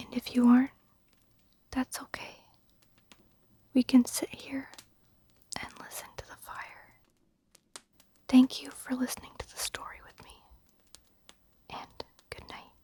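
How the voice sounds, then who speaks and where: Someone whispers at a fairly slow pace with long, frequent pauses, over noticeable background noise. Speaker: ASMR storyteller. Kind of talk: ASMR talk to listener, breathing guidance. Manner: soft-spoken, whispered.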